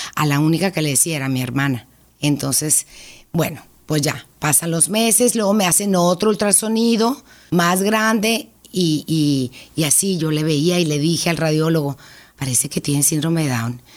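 A woman with a very deep, low pitch talks at a moderate pace on a very clean recording with a silent background. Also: lively intonation. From Mexico, Hermosillo (Sonora). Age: 50s. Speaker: mother of a child with Down syndrome. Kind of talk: personal testimony interview.

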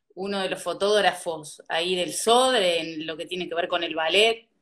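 A woman talks at a fairly slow pace in a plain, everyday voice. Her pitch variation is ordinary. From Uruguay, interior. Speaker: podcast host. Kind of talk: interview.

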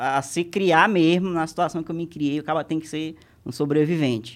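A man's fairly high-pitched voice comes across over a quiet background. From Maranhão, Brazil. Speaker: comedy content creator. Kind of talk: casual chat. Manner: fast.

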